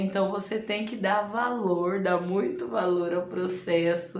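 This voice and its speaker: Amid audible room echo and noticeable background noise, a woman speaks with lively intonation. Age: 40s. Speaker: amateur runner and vlogger. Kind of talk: casual advice talk to camera. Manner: conversational, frequent filler 'né'.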